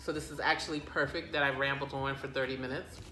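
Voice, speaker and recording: A woman with an American accent, with audible room echo and noticeable background noise. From United States. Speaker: plant vlogger. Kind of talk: casual chat. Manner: rambling, hesitant with many fillers.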